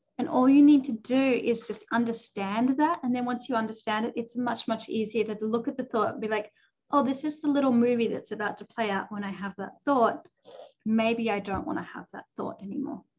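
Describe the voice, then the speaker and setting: With an Australian accent, a woman talks at a fairly quick pace, with ordinary pitch variation and big swings in loudness. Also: fairly high pitch for a woman. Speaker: life coach. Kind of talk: casual chat.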